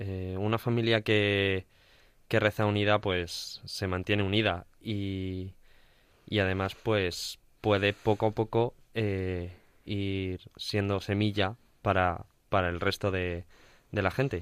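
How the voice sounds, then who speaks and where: Speaking very slowly in a Castilian accent, a man uses a fairly low pitch with monotone, flat intonation on a very clean recording with a silent background. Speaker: radio co-host. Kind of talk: casual chat.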